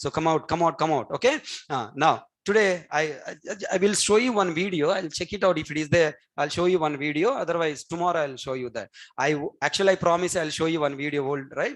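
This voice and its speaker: Spoken at a very fast pace with a Telugu accent, the voice shows ordinary pitch variation. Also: man, fairly high pitch for a man. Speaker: programming trainer. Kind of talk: lecture.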